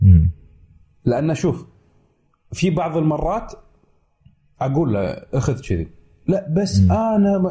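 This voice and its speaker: Over background music, a man speaks very slowly with long, frequent pauses in a fairly high voice that swings very widely in pitch. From Kuwait. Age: 30s. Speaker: tech YouTuber. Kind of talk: casual chat.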